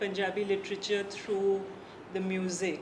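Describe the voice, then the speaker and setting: A medium-pitched woman's voice with noticeable background noise and audible room echo. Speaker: author and translator. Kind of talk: conversation.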